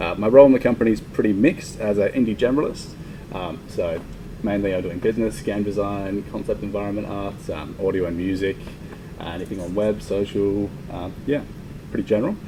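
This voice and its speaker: In an Australian accent, a man with a fairly low pitch talks at a fairly quick pace amid noticeable background noise and audible room echo. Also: ordinary pitch variation. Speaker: indie game developer. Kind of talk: conference talk. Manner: fast; quiet.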